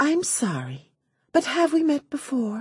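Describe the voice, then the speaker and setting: In a put-on character voice, a woman talks fairly slowly at a high pitch. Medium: read story. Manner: dry, teasing.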